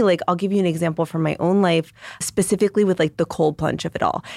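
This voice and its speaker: In a dry, close sound with no echo, a woman's medium-pitched voice carries a dark, mellow tone. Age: 30s. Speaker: registered dietitian and nutritionist. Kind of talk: casual chat.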